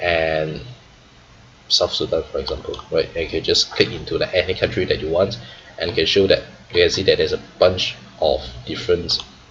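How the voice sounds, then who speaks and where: A man with a non-native accent speaks at a fairly quick pace over noticeable background noise. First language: not English. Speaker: trader and finance YouTuber. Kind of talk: tutorial. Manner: frequent fillers and 'right?' tags.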